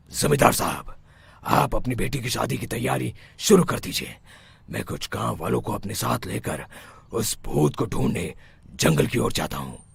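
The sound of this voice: Using a cartoonish character voice, a man speaks at a moderate pace with a very deep, low pitch and very wide pitch swings.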